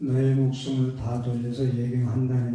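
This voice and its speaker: In a room with audible echo, a man speaks at medium pitch in a somewhat breathy, dark, mellow tone with monotone, flat intonation. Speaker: Buddhist monk. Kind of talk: sermon. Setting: temple dharma talk with audience. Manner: hesitant, many fillers.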